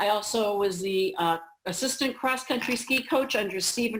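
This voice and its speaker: This woman has an unremarkable speaking voice, with medium pitch, ordinary pitch variation and a moderate pace. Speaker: school administrators' association director. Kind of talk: training presentation. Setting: video call played in a cafeteria. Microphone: on a hotspot, spotty internet, echoing.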